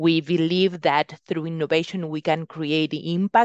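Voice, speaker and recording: In a Spanish accent, a woman with a fairly low pitch speaks at a fairly slow pace against a quiet background. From Uruguay. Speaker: venture capital investor. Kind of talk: interview.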